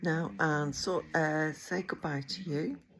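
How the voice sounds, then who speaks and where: A woman speaks with an English accent. Her pitch is very deep and low. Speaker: vlogger. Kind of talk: casual chat. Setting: in a car. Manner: hesitant, many ums.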